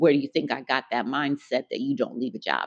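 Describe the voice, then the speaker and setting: A woman speaks with lively intonation at a very deep, low pitch. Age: 50s. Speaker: vlogger. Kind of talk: casual vlog monologue. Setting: at home in her apartment.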